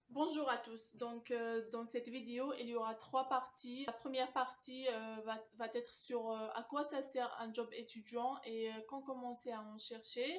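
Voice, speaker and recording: A woman with an Algerian accent speaks at a high pitch and a fairly slow pace, her intonation fairly even and hardly any pauses between words. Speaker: student job coach. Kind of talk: advice talk to camera. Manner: hesitant, many filler sounds.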